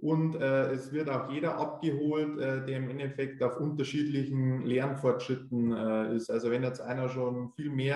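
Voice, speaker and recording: A medium-pitched man in a flat monotone at a moderate pace, with audible room echo and noticeable background noise. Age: 20s. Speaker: tax assistant preparing for tax adviser exam. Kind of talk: interview. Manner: hesitant with frequent fillers.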